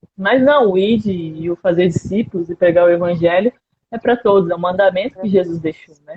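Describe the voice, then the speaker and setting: A woman speaks fairly quickly at a medium pitch, with ordinary pitch variation and an unremarkable speaking voice. Her loudness swings a lot. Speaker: missionary speaker. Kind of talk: missionary talk in a live stream. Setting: live stream video call.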